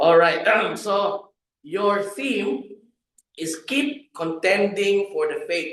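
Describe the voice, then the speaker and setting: A man talks with ordinary pitch variation while room echo is audible around him. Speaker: preacher. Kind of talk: sermon. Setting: church pulpit.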